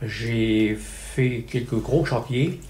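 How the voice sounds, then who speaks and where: Audible room echo surrounds a man's medium-pitched voice. It has a dark, mellow tone and vocal fry. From Nord, northern France. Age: 80s+. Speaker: retired factory foreman. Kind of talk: interview testimony. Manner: hesitant.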